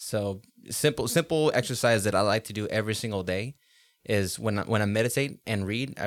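A man with an American accent talks at a fairly quick pace in a fairly low pitch. His is an unremarkable speaking voice. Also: very clean recording, silent background. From Los Angeles, California. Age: 20s. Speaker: rapper and music producer. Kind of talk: casual interview.

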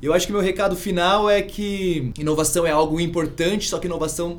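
A fairly quick pace amid noticeable background noise and audible room echo. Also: man. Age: 30s. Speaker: startup founder. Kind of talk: casual interview.

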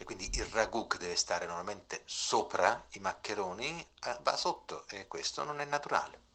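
His pace moderate, a man's loudness swings widely from moment to moment. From Campania, province of Salerno. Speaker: listener sending voice message. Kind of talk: voice message.

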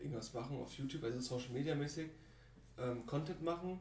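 A somewhat breathy man of medium pitch talks at a very fast pace with fairly even intonation, and audible room echo is present. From Germany. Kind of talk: casual chat.

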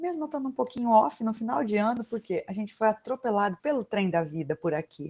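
At a moderate pace, the somewhat breathy voice makes very wide pitch swings, with a dry, close sound and no echo. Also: woman. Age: 30s. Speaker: podcast host, parental educator. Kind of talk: casual chat. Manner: animated.

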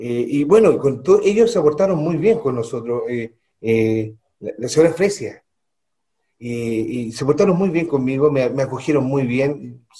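A man with a fairly high pitch talks at a fairly slow pace, his somewhat breathy voice dark and mellow in tone, with lively intonation. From Chile, Santiago. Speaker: mining executive. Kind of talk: radio interview.

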